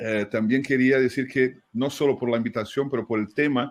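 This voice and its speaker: A man speaks at a moderate pace with a medium pitch and fairly even intonation against a quiet background. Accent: Brazilian. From Brazil. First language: Portuguese (speaking Spanish). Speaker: fundraising consultant, writer. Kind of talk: webinar conversation. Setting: online webinar.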